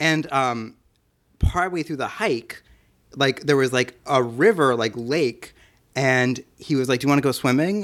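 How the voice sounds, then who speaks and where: A man with an American accent and an ordinary speaking voice, medium in pitch with ordinary pitch variation, on a very clean recording with a silent background. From New Jersey and Pennsylvania. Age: 20s. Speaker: photographer and podcast editor. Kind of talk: casual chat.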